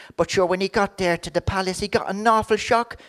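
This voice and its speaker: This woman has an Irish accent. She talks at a medium pitch. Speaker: comedian. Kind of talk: comic monologue.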